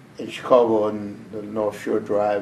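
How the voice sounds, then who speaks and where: A man speaks with an American accent at a fairly low pitch. Room echo is audible. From US South, Memphis, Tennessee. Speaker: war veteran. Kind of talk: oral history interview.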